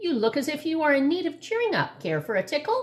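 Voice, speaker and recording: A woman puts on a squeaky, high-pitched character voice, talking fairly quickly with very wide pitch swings. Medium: read story. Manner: cheerful, chuckling.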